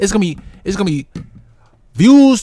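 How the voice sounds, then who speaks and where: Loud and animated, the voice moves at a moderate pace with lively intonation. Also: man. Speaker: music reaction streamer. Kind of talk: reaction commentary. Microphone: distorted from screaming into the mic.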